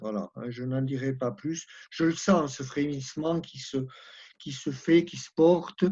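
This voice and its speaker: A man's fairly high-pitched voice with a dark, mellow tone, ordinary pitch variation, big swings in loudness and a fairly slow pace. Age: 70s. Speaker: participant. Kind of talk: spoken contribution in an online discussion.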